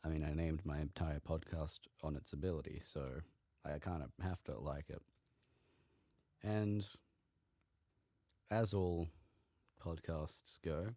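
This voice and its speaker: A man speaks at a very deep, low pitch with a dark, mellow tone and ordinary pitch variation. His pace is fairly slow, with long, frequent pauses. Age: young. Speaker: podcast host. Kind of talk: casual solo podcast monologue. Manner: casual, with frequent fillers.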